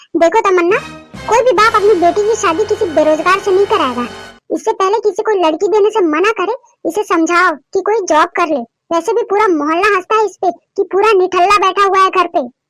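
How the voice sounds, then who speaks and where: A woman does a cartoonish character voice at a fairly quick pace, her loudness very even, with music in the background. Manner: stern, scolding.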